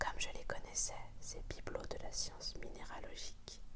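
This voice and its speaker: Against noticeable background noise, a woman speaks in a whisper. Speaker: ASMR whispered-reading channel host. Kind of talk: whispered audiobook reading of a classic novel. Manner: whispered, soft.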